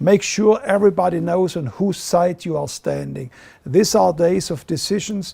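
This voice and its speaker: A man with a German accent talks at a moderate pace in a high pitch for a man, his tone dark and mellow with ordinary pitch variation. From Germany. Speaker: ministry leader. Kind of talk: video address.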